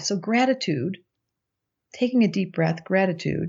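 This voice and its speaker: A woman talks in a normal speaking voice at a fairly quick pace. Her intonation is lively. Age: 60s. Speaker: astrologer and psychotherapist. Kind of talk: casual interview chat.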